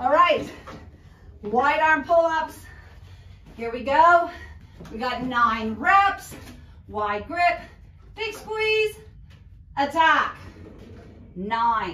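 A woman's raised, projected voice with a bright, sharp tone, a very slow pace, long and frequent pauses, and audible room echo. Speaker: fitness instructor. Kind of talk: workout coaching count. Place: home room. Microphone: camera far.

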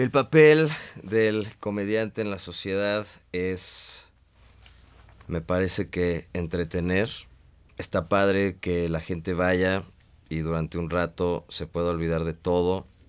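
A man speaks very slowly in a Mexican accent, his very deep, low voice moving with ordinary pitch variation and long, frequent pauses over a quiet background. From Mexico. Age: 30s. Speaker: stand-up comedian. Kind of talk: casual interview. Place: studio.

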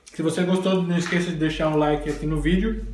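With music in the background and audible room echo, a man talks at a fairly quick pace in a high pitch with fairly even intonation. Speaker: home cooking vlogger. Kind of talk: casual cooking tutorial. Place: kitchen. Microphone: phone near.

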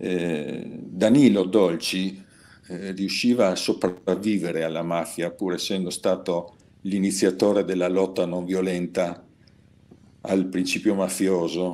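A man speaks at a very slow pace with a very deep, low pitch. His tone is dark and mellow, his intonation fairly even. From Trieste, northeast Italy. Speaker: peace activist. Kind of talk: webinar presentation. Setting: video call. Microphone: video call.

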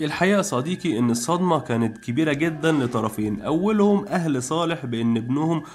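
A man with a plain, everyday voice and a fairly high pitch speaks at a moderate pace with lively intonation, very even loudness and hardly any pauses. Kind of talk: scripted narration.

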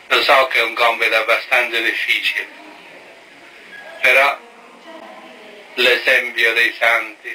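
Noticeable background noise runs under a man who speaks at a very slow pace. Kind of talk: sermon and blessing.

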